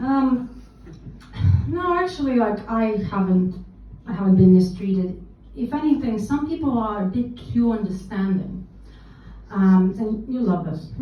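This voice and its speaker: A woman's fairly high voice, slow-paced with lively intonation and long, frequent pauses, amid audible room echo and noticeable background noise. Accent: Russian. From Russia. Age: 30s. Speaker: stand-up comedian. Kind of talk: stand-up. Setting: stage with audience.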